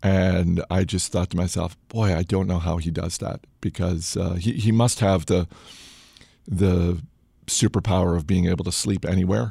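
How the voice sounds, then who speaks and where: Very deep and low in pitch, a man speaks in a dark, mellow tone that is somewhat breathy. His intonation stays fairly even, on a very clean recording with a silent background. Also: moderate pace. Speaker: podcast host. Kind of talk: solo casual monologue. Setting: studio. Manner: hesitant, many fillers.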